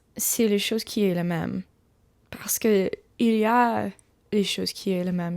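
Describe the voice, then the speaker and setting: A woman with an English accent, fairly slow and fairly even in intonation. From USA. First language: English (speaking French). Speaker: ASMR creator. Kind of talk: casual storytelling. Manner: halting, many restarts; soft-spoken.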